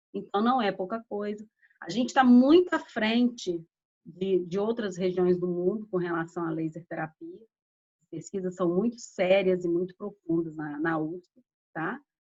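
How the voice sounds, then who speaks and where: At a fairly slow pace, a woman speaks in a plain, everyday voice at medium pitch with ordinary pitch variation. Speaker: laser therapy instructor. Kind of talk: lecture. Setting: online live stream.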